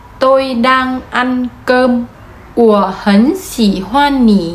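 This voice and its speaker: High pitch from a woman, varying in an ordinary way. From Vietnam. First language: Vietnamese (speaking Chinese). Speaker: vlogger. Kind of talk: explainer vlog. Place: home room. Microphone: phone near.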